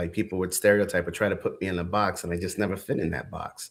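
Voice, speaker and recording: A man's fairly even voice in a very clean recording with a silent background. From New York City, the Bronx. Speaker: entrepreneur. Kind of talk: podcast interview.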